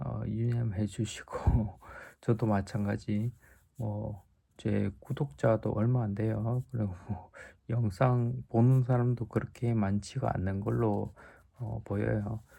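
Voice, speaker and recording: A man speaks at a very slow pace, with long, frequent pauses and fairly even intonation. His tone is dark, mellow and somewhat breathy, on a very clean recording with a silent background. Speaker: stroke survivor vlogger sharing rehab experience. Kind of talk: casual vlog talk to viewers. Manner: hesitant with frequent fillers.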